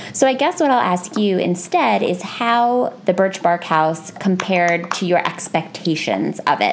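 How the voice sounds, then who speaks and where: A woman speaks at a fairly slow pace with hardly any pauses, her pitch medium and her intonation lively. Her loudness stays very even, and background noise is noticeable. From United States. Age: 20s. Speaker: podcast host. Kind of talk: casual chat.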